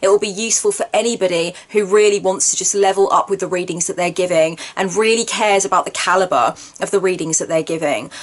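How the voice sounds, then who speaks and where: With noticeable background noise behind her, a woman talks at a very fast pace with hardly any pauses, using a medium pitch and ordinary pitch variation. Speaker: tarot reader and spiritual counselor. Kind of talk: course introduction video. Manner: verbose, wordy delivery.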